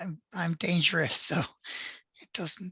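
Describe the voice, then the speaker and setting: A woman puts on a raspy, hoarse character voice, pitched fairly low, and speaks at a fairly slow pace. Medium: actual play. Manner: subdued, hesitant.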